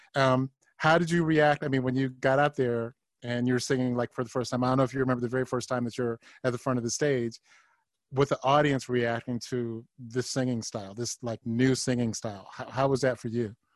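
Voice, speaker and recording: Speaking with an American accent, a man goes at a fairly quick pace with fairly even intonation in a dry, close sound with no echo. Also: medium pitch for a man. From Ohio. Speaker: podcast host. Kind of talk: interview. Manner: halting, repetitive.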